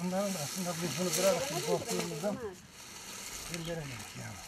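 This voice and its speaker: Amid noticeable background noise and audible room echo, a man with a high pitch talks at a fairly quick pace. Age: 60s. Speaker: pumpkin grower. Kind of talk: news interview.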